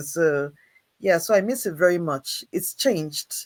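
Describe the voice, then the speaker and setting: A fairly slow pace in a northern Nigerian accent. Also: very clean recording, silent background. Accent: northern Nigerian twang. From Nigeria, Jos (middle belt). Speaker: creative producer and director. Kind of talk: casual interview.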